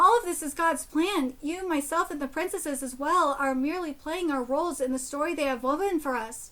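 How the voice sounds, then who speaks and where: Over a silent background in a very clean recording, a woman uses a put-on character voice at a high pitch and a fairly quick pace. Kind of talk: fantasy storytelling. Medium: game stream. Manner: formal, solemn.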